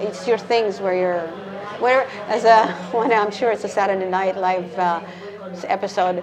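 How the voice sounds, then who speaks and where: A woman with a Canadian accent speaks at medium pitch and a moderate pace, with long, frequent pauses and fairly even intonation. Music plays in the background. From Canada, Calgary. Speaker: flamenco dancer and English teacher living abroad. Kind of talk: casual interview.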